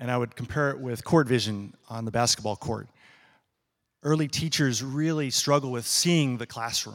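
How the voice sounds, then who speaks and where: This is a plain, everyday voice at a moderate pace with ordinary pitch variation. The recording is very clean with a silent background. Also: man, medium pitch for a man. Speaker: education professor. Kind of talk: presentation. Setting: stage with audience.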